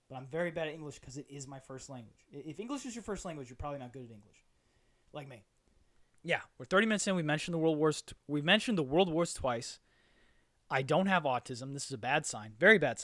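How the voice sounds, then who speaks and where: At a very fast pace and a fairly high pitch, a man speaks with big swings in loudness. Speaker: podcast host. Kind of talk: solo comedic monologue. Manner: rambling with repetitions.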